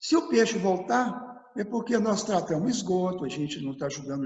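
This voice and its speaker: A man speaks with a Minas Gerais accent. His pace is moderate and his pitch swings very widely. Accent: Minas Gerais Brazilian Portuguese. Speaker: environmentalist. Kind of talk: interview answer.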